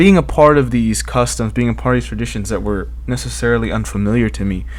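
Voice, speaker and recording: The voice moves at a fairly quick pace with ordinary pitch variation. Audible room echo and noticeable background noise surround it. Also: man. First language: Spanish. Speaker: podcast host, college student. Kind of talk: solo podcast monologue. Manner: casual, with fillers and restarts.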